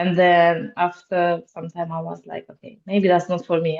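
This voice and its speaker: A woman with a Romanian accent speaks at a moderate pace, her pitch fairly low. Her intonation stays fairly even while her loudness swings widely. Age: 20s. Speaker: security officer. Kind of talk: podcast interview. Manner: halting, many fillers.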